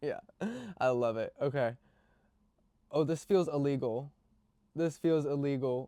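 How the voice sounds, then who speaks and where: Speaking in an American accent, a man has a dark, mellow tone at a fairly high pitch with fairly even intonation. His pace is fairly slow, with long, frequent pauses. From Virginia, US. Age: 20s. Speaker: beauty vlogger. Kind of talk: casual makeup tutorial chat. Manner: hesitant, many fillers.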